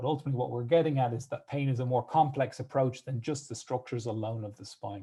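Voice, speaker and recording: Somewhat breathy and at a very fast pace with hardly any pauses, a man with an Irish accent speaks at a medium pitch in a dark, mellow tone, his intonation fairly even and his loudness swinging widely. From Ireland. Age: 30s. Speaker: physiotherapist. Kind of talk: presentation.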